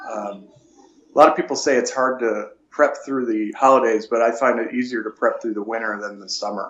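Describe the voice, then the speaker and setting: A man with an American accent has an ordinary speaking voice at a medium pitch and fairly quick pace. His intonation is fairly even, while his loudness swings widely. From Buffalo, New York. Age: 40s. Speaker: natural bodybuilder. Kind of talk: interview.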